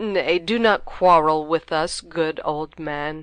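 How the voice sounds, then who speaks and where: A woman's put-on character voice, fairly low-pitched, with fairly even intonation at a fairly slow pace. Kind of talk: Shakespearean verse reading. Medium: read story.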